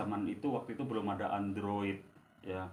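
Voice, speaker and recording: A man speaks with a fairly low pitch. His voice carries audible room echo. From East Java, Indonesia (Banyuwangi). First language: Javanese (speaking Indonesian). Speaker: storyteller. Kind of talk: casual storytelling. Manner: halting, many fillers.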